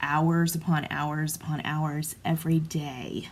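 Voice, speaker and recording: A woman's somewhat breathy voice at a fairly low pitch. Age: 40s. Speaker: craft vlogger. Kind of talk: tutorial. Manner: casual, hesitant with fillers.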